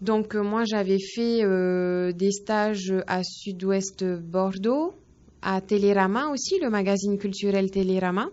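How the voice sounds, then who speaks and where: Speaking at a very slow pace, a woman keeps her intonation fairly even. Her pitch is medium. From French Polynesia, Faa'a (Tahiti). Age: 20s. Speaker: young journalist. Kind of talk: interview. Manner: hesitant, many fillers.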